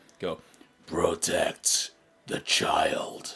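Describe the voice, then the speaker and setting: A man puts on a raspy character voice at an extremely high pitch. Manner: commanding.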